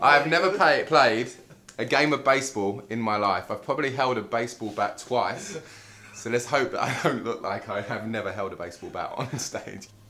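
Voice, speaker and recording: Noticeable background noise sits behind a man with an English accent speaking in a medium pitch with lively intonation. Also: moderate pace. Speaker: natural bodybuilder and personal trainer. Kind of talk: video diary. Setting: kitchen at night.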